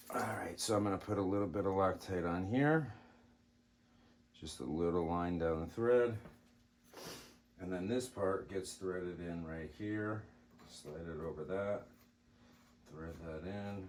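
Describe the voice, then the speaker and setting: A soft-spoken man with a very deep, low voice talks at a fairly slow pace, with long, frequent pauses and ordinary pitch variation. Room echo is audible. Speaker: airgun hobbyist. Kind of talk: tutorial.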